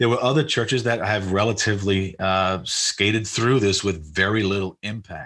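A man talks at a moderate pace with hardly any pauses, in an unremarkable speaking voice. His pitch varies in an ordinary way. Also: fairly low pitch for a man. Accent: American. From New York City, Queens. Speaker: Baptist association director. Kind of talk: interview conversation.

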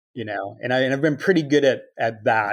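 A man with an American accent talks fairly quickly with ordinary pitch variation, a plain, everyday voice. The recording is very clean, with a silent background. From Chicago area, US Midwest. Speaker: multidisciplinary artist and architect. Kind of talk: interview.

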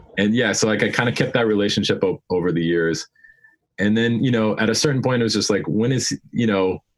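A man with an American accent and an ordinary speaking voice, fairly low in pitch with ordinary pitch variation, very even in loudness, at a fairly quick pace. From Colorado, US (Denver). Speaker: bassist and songwriter. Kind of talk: casual interview.

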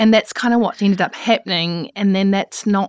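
With a New Zealand accent, a woman speaks in a dry, close sound with no echo. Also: very clean recording, silent background. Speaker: podcast host. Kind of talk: interview.

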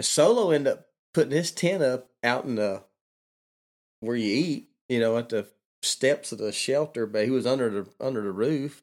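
A man with a Southern US accent speaks at a medium pitch and a moderate pace. He leaves long, frequent pauses on a very clean recording with a silent background. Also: lively intonation. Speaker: long-distance hiker guest. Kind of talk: casual interview chat. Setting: vacant house studio.

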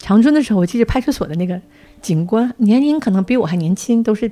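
A woman with an ordinary speaking voice, lively intonation and a fairly quick pace. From Northeast China. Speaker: podcast host, publisher. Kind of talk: casual interview chat.

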